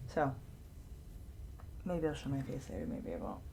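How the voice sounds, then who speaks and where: A woman's very deep, low voice with audible room echo. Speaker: gaming youtuber. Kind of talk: let's play commentary. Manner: halting.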